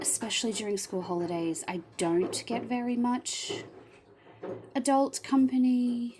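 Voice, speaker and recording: This woman's high voice has lively intonation, with noticeable background noise behind it. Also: fairly slow pace. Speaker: teacher and budgeting vlogger. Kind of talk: casual vlog, cash stuffing. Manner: says um and ah a lot.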